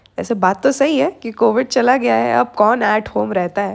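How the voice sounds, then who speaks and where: This woman speaks at a fairly high pitch, her voice swinging very widely up and down. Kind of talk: vlog intro to camera.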